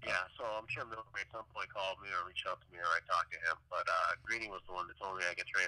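Very fast talking with hardly any pauses, in a dry, close sound with no echo. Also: man. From Boston, US. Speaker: retired ice hockey player. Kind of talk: interview.

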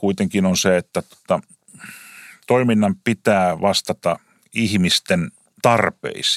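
A man's unremarkable speaking voice, fairly low in pitch with lively intonation, in a dry, close sound with no echo on a very clean recording with a silent background. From Finland, Lahti. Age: 50s. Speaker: taxi company CEO. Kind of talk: interview.

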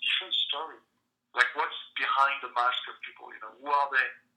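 A man with a French accent, at a fairly quick pace. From France. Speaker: entrepreneur and comedian. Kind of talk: interview.

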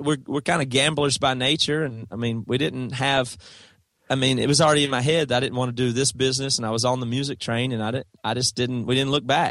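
A man with an American accent, very fast, with fairly even intonation. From US South, South Carolina. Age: 30s. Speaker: rock band guitarist. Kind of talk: casual chat.

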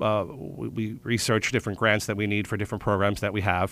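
Speaking in an American accent, a man talks at a fairly quick pace. He has a fairly low pitch and a normal speaking voice. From Philadelphia, Pennsylvania. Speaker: theater artistic director. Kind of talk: radio interview.

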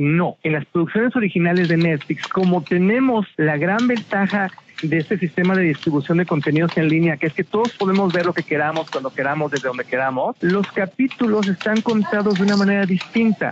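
Speaking at a fairly quick pace, a man sounds animated. His voice sits high, with lively intonation. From Mexico. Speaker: television critic. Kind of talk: interview.

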